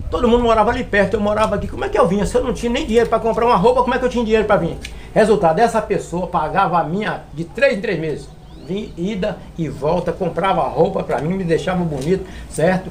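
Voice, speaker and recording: Over noticeable background noise, a man talks at a very fast pace with a high pitch. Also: ordinary pitch variation. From Brazil, Minas Gerais (Serra dos Aimorés). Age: 60s. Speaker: florist and forestry worker. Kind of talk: interview. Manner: hesitant, repetitive fillers.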